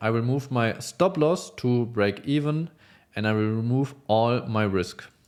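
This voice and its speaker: On a very clean recording with a silent background, a man speaks at a very slow pace with a non-native accent. His medium pitch shows ordinary variation. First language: not English. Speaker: futures trader. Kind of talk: trade recap tutorial. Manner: halting, many fillers.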